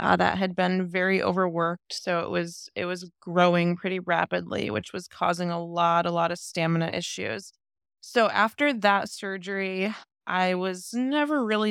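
In an American accent, a woman with a plain, everyday voice speaks at a fairly low pitch and moderate pace, with ordinary pitch variation. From US Midwest, Ohio. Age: 30s. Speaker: bodybuilder and heart transplant recipient. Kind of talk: interview storytelling.

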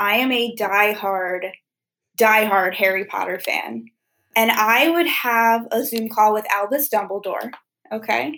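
With an American accent, a woman speaks fairly slowly in a fairly high pitch, using a bright, sharp tone and ordinary pitch variation. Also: very clean recording, silent background. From US Mid-Atlantic, Wilmington, Delaware. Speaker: peer recovery specialist. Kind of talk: interview.

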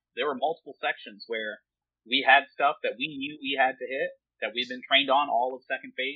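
A man with a normal speaking voice, fairly high in pitch, in an American accent, with fairly even intonation and a fairly quick pace. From Upper Peninsula of Michigan. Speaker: army engineer officer. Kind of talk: casual chat.

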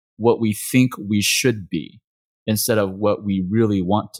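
A man's plain, everyday voice, fairly low in pitch, with an American accent, at a moderate pace, in a dry, close sound with no echo, on a very clean recording with a silent background. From Texas. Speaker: acupuncturist and practice owner. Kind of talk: interview conversation.

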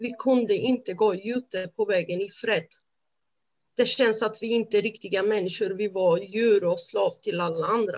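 This woman's voice sits at a medium pitch with ordinary pitch variation. She talks at a moderate pace. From Romania. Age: 30s. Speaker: honour violence survivor. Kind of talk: testimony. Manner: halting.

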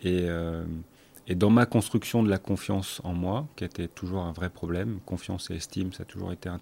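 Fairly slow in pace, the speech carries a dark, mellow tone and ordinary pitch variation. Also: man. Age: 50s. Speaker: breathing instructor and academy founder. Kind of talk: casual chat. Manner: halting.

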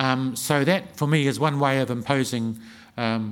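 With a New Zealand accent, a man talks at a medium pitch. His intonation is lively. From New Zealand, Wellington region. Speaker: historian and author. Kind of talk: festival talk and audience Q&A. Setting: stage with audience.

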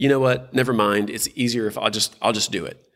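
This is a man speaking. He talks with a Texan accent. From Texas, South Houston. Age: 40s. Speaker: nonprofit leader. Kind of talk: casual interview.

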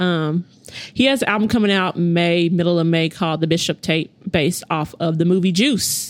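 Keeping very even loudness, a woman speaks at a moderate pace and a fairly low pitch with ordinary pitch variation. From Oklahoma, US. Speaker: hip hop promoter and festival organizer. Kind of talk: casual chat.

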